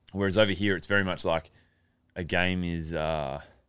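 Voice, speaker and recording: In an Australian accent, a man with a very deep, low pitch speaks at a moderate pace with fairly even intonation. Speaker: college punter, former pro footballer. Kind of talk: casual interview chat.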